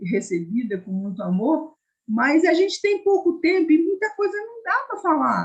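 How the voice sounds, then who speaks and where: A somewhat breathy woman's voice with very wide pitch swings at a moderate pace. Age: 70s. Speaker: hospital volunteer and psychodramatist. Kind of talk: online discussion comment.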